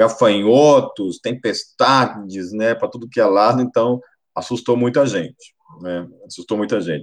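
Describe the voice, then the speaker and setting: This man has an unremarkable speaking voice, medium in pitch with ordinary pitch variation, and he talks at a fairly slow pace. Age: 40s. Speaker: pastor. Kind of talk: sermon.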